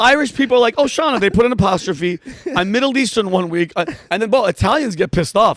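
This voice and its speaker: With music in the background, a man with a high pitch speaks in an animated tone and lively intonation at a very fast pace, the sound dry and close with no echo. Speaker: comedian and military veteran. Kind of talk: casual interview chat. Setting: studio.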